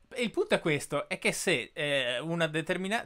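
A man speaks with lively intonation and a bright, sharp tone. The background is quiet. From Italy, Bolzano; Italy. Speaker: podcast host. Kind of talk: interview. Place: home room. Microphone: studio mic.

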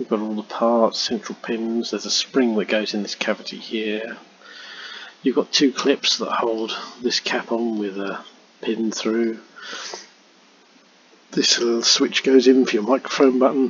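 A man's monotone, flat delivery at a fairly slow pace, broken by long, frequent pauses amid noticeable background noise. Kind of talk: tutorial.

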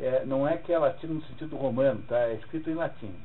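Someone with a Brazilian accent speaks at a fairly quick pace, with audible room echo and noticeable background noise. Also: man. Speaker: literature teacher. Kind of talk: lecture.

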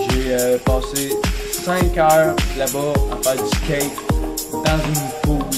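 A man speaks over loud background music. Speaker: vlogger. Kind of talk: casual vlog chat. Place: home room. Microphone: phone near.

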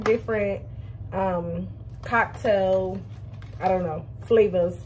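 Light background noise under a woman at a moderate pace. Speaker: vlogger. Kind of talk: casual vlog chat. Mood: chatty, playful. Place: home room. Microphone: phone near.

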